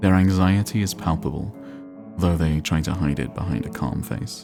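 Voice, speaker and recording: A man's very deep, low voice at a moderate pace, with music playing in the background. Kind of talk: calm gameplay narration for sleep.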